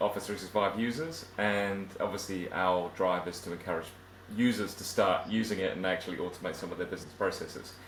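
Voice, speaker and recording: Audible room echo surrounds the voice. A man speaks at a fairly quick pace. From southern England. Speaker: IT automation consultant. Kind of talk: interview.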